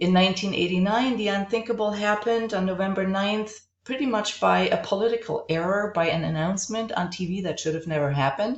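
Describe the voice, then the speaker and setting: A woman with a German accent at a fairly quick pace and medium pitch, with ordinary pitch variation and hardly any pauses, over noticeable background noise. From East Germany (Halle, Dresden). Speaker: college instructor, art historian. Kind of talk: recorded class introduction lecture.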